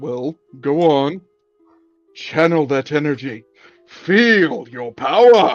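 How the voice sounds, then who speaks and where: In a put-on character voice at a low-to-middle pitch, the speaker goes at a very slow pace with long, frequent pauses while faint music plays in the background. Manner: mock-commanding, comically grand.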